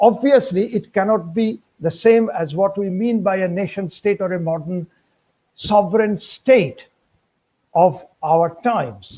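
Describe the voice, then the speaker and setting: A man with a Bengali accent, high pitch, dark, mellow tone and ordinary pitch variation. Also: fairly slow pace. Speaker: history professor. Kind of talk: lecture. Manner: formal.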